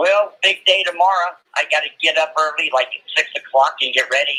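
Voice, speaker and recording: Speaking at a fairly quick pace, a man has a high pitch, a bright, sharp tone, and fairly even intonation. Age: 60s. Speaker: caller, college football fan. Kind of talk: casual chat.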